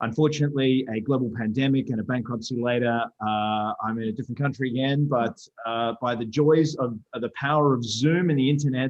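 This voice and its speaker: A man with an Australian accent, medium pitch and ordinary pitch variation, at a fairly quick pace. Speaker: rugby referee educator. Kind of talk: presentation interview. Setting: video call. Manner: hesitant, many fillers.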